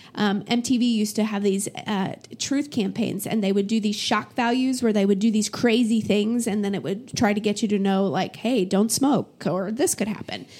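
A woman speaks at a moderate pace and a fairly high pitch, with ordinary pitch variation. Her tone is dark and mellow, and somewhat breathy. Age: 40s. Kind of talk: interview testimony. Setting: office.

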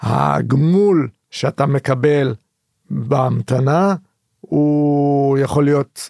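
Here a man speaks at a very slow pace with a fairly high pitch. The sound is dry and close, with no echo. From Israel, Haifa. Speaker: activist and trance party-goer. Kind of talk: podcast interview.

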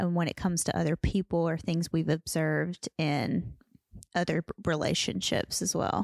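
A woman with fairly low pitch and fairly even intonation has an ordinary speaking voice. The recording is very clean, dry and close, with no echo and a silent background. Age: 30s. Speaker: podcast co-host. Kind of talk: casual chat.

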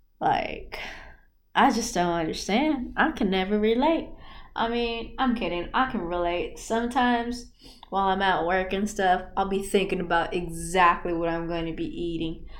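Audible room echo surrounds this voice. A woman speaks at a medium pitch with lively intonation. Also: moderate pace. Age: 20s. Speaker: podcaster. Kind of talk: casual monologue. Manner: animated.

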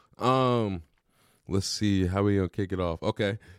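In an ordinary speaking voice, a man with a fairly low pitch and ordinary pitch variation is heard in a dry, close sound with no echo on a very clean recording with a silent background. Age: 20s. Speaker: podcast host, former junior college football player. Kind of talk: casual chat. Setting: studio.

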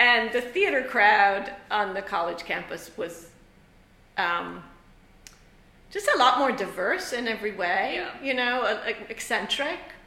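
Against noticeable background noise, a woman talks at a fairly slow pace with long, frequent pauses. Her voice is fairly high, with lively intonation. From Ireland. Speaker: theatre professor and lighting designer. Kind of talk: interview on a student podcast. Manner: casual, conversational with fillers.

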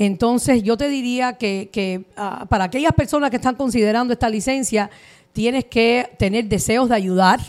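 A woman with a plain, everyday voice speaks at a fairly high pitch and a moderate pace, with ordinary pitch variation. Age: 40s. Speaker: mortgage advisor. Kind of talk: interview.

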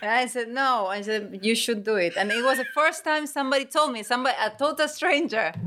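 Speaking with a Spanish accent, a woman talks at a fairly quick pace in a high pitch with lively intonation over noticeable background noise. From Argentina, Córdoba. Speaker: stand-up comedian. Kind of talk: interview. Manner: careful.

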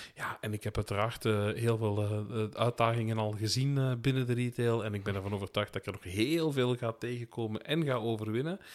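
The recording is very clean, with a silent background. A man with an ordinary speaking voice talks fairly quickly at a medium pitch, with ordinary pitch variation. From Belgian Limburg. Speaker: podcast co-host, retail sales professional. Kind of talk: casual chat. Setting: home attic recording.

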